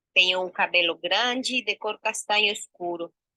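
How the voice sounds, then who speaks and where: With a Spanish accent, a woman speaks in a bright, sharp tone with ordinary pitch variation, in a dry, close sound with no echo. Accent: Spanish-speaking foreign. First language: Spanish (speaking Portuguese). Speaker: actress and researcher. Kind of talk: self-description presentation.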